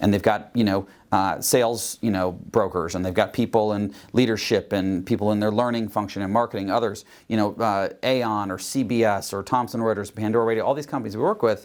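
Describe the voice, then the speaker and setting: A fairly low-pitched man talks at a fairly quick pace with fairly even intonation, in a very clean recording with a silent background. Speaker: executive coach and software founder. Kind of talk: interview answer. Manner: fast.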